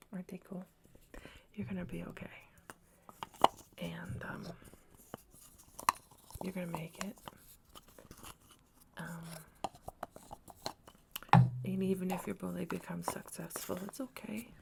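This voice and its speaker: Soft-spoken and calm in tone, the speaker talks at a fairly slow pace with long, frequent pauses over noticeable background noise. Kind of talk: ASMR roleplay, soft-spoken comforting talk to camera. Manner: soft-spoken, calm, reassuring.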